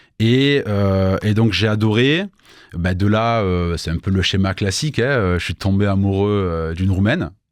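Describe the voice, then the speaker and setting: In a very clean recording with a silent background, a man talks at a fairly slow pace. His voice sits fairly low and shows ordinary pitch variation. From southern France, Avignon. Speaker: entrepreneur, business consultant. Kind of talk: radio interview. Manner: hesitant, many fillers.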